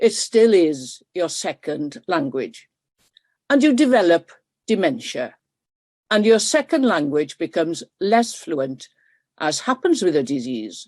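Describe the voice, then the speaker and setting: Long, frequent pauses break up a woman's fairly slow speech in a South Welsh accent, at a fairly low pitch. Her pitch swings very widely, and the sound is dry and close with no echo. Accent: Welsh, south Wales dialect. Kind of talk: webinar talk. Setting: video call. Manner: hesitant with fillers.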